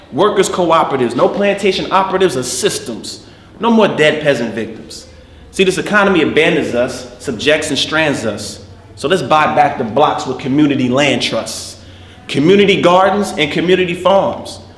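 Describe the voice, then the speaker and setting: A man with an American accent talks at a moderate pace in a fairly high pitch, his intonation lively. Noticeable background noise sits behind him. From New Jersey, USA. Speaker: poet, actor. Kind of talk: spoken word poetry performance. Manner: rhythmic.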